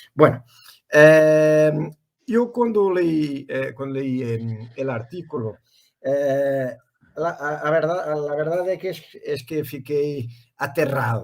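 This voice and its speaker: A man's fairly high voice with a Portuguese accent, very slow in pace, with ordinary pitch variation. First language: Portuguese (speaking Spanish). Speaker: professor. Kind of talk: academic interview. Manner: halting, stammering.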